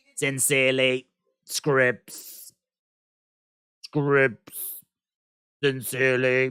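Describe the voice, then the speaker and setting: A robotic, put-on character voice at low-to-middle pitch speaks in a monotone, flat intonation at a very slow pace with long, frequent pauses. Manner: robot-like computer voice.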